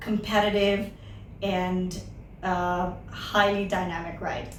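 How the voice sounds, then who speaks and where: In a room with audible echo, a woman speaks very slowly at a medium pitch, her intonation monotone and flat. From Hong Kong, early childhood in India. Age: 20s. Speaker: interviewee, psychology teacher. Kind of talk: interview.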